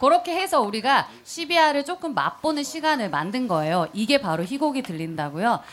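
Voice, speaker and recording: A woman's high-pitched voice with very wide pitch swings, a moderate pace and hardly any pauses. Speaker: actor and podcast co-host. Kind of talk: dramatic play reading. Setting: stage with live audience.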